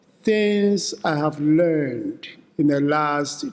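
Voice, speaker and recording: This man speaks at a very slow pace with lively intonation. His pitch is fairly high. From Ghana. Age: 70s. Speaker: philanthropy advisor and keynote speaker. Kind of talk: keynote speech.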